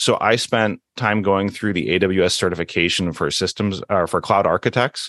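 A man speaks in an ordinary speaking voice, fairly low in pitch, at a moderate pace. His pitch variation is ordinary and his loudness very even. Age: 40s. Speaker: former teacher turned cloud engineer. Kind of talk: interview.

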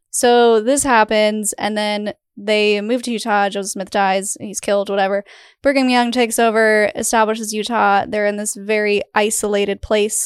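In a very clean recording with a silent background, a woman with a fairly high pitch speaks at a moderate pace. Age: 30s. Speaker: podcast host. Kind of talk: interview conversation. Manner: animated.

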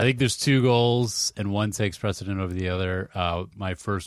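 A man with an American accent uses a plain, everyday voice at a fairly low pitch, keeping a moderate pace and fairly even intonation. The sound is dry and close with no echo, on a very clean recording with a silent background. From Massachusetts. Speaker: freelancer. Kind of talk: casual chat.

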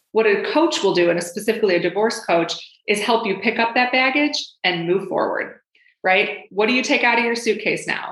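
A woman in an ordinary speaking voice, medium pitch, fairly quick pace and ordinary pitch variation. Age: 40s. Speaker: divorce and career coach. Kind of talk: podcast interview.

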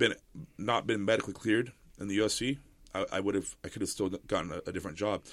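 In a very clean recording with a silent background, a man talks at a very fast pace. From military brat, Central and South America, San Diego. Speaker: grappler and MMA gym co-owner. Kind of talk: casual interview.

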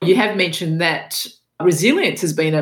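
This woman has an Australian accent and a very deep, low pitch. Vocal fry runs through her voice. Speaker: podcast host. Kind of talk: interview.

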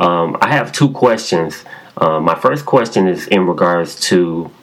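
Over noticeable background noise, a man with an American accent talks at a moderate pace in a very deep, low pitch. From Chicago. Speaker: caller leaving voicemail question. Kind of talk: recorded voicemail question. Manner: halting, many fillers.

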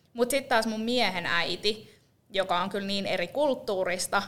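A woman talks at a moderate pace while noticeable background noise carries on behind her. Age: 30s. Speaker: podcast co-host. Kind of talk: casual chat. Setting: rented podcast studio.

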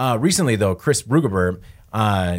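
Captured in a very clean recording with a silent background, a normal speaking voice talks at a fairly quick pace. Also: man. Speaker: podcast host. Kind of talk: casual chat, live podcast. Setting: live stream, studio.

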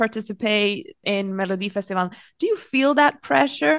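A woman's lively intonation comes through over a quiet background. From Croatia. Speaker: podcast host. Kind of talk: interview.

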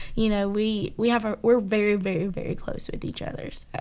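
Speaking with a Southern US accent, a woman keeps a medium pitch and flat, monotone intonation at a moderate pace. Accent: Southern US (Georgia). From Georgia, US South. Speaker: college student. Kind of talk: interview testimony. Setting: studio.

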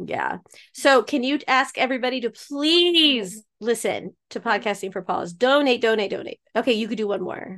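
A woman with a fairly high pitch talks with lively intonation at a moderate pace. It is an unremarkable speaking voice. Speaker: podcast host. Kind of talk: casual chat.

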